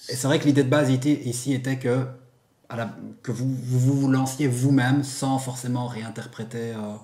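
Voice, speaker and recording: Audible room echo surrounds a man of medium pitch who talks at a moderate pace in a monotone, flat intonation. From Belgium. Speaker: YouTuber, figure collector channel host. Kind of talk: casual interview.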